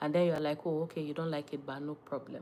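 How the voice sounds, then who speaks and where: A woman with a Nigerian accent, animated in tone, at a very fast pace. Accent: Nigerian (Yoruba) English. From Nigeria, Ondo State (Yoruba). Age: 30s. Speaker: lifestyle content creator. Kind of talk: casual live-stream chat.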